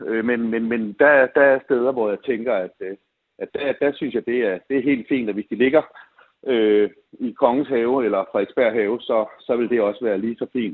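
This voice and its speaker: This man's mid-range voice keeps a fairly level intonation as he talks at a moderate speed. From Denmark, Copenhagen. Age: 50s. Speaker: listener panel member. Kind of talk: radio call-in debate. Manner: halting.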